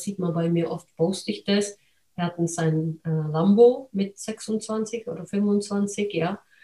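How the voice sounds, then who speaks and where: A woman speaks in a non-native accent at a very slow pace, her medium-pitched voice somewhat breathy. Her tone is dark and mellow, her intonation fairly even. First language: not German (speaking German). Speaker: podcast host, real estate investor. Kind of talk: interview.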